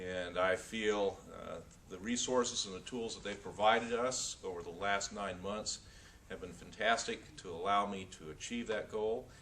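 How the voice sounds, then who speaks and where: Someone with an American accent talks at a moderate pace with fairly even intonation, over noticeable background noise. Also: man, fairly low pitch for a man. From North Florida, later California. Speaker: aspiring professional speaker. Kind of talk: testimonial.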